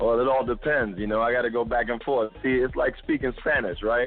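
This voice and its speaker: Speaking very fast, a man with an American accent uses a medium pitch and fairly even intonation. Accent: Trinidadian accent he can switch on and off. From Brooklyn, New York, Caribbean family. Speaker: actor. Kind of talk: casual chat. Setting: phone call.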